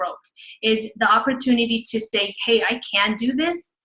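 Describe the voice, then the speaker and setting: A woman speaks with a Spanish accent at a fairly high pitch. Her intonation stays fairly even. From Houston, Texas. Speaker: fitness business coach. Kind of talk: webinar presentation.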